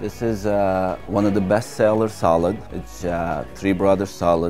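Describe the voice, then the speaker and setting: Clear music plays behind a man speaking at a fairly slow pace with ordinary pitch variation. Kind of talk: interview answer. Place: cafe. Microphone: lapel.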